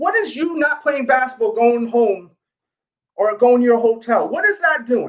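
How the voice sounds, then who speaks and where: In a New York accent, a man with an extremely high pitch speaks at a moderate pace, his tone animated and his intonation lively. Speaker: sneaker YouTuber and livestream host. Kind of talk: casual livestream chat. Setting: live stream.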